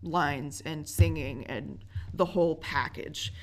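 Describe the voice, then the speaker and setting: This woman's voice is very deep and low, with very wide pitch swings and vocal fry. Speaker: theater actor and dancer. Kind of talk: casual interview.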